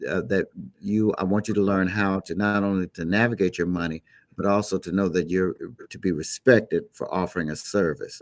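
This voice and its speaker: A man with an unremarkable speaking voice and an American accent talks at a fairly quick pace, fairly low in pitch and fairly even in intonation, on a very clean recording with a silent background and a dry, close sound with no echo. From Chicago. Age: 60s. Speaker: gospel musician. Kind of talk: interview.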